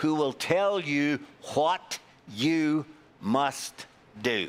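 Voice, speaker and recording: A man with a Glaswegian accent talks at a very slow pace. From Scotland, Glasgow. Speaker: Bible class teacher. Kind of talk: Bible class lecture with discussion.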